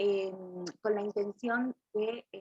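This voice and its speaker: A woman's fairly high voice, with fairly even intonation, comes through dry and close with no echo. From Argentina, Buenos Aires west (Coronado). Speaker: Bach flower therapist and teacher. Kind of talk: webinar presentation.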